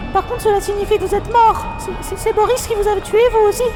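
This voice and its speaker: A woman's put-on character voice at an extremely high pitch and fairly quick pace, with loud music in the background. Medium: audio drama.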